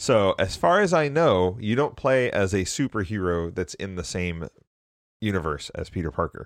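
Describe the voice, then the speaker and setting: Against a quiet background, a man at a fairly low pitch speaks at a moderate pace with very wide pitch swings. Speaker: podcast host. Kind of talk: casual chat.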